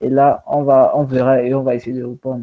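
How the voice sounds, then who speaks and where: The intonation is monotone and flat. A man delivers it at a moderate pace. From Cameroon, anglophone home. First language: English (speaking French). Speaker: conference speaker. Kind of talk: online talk.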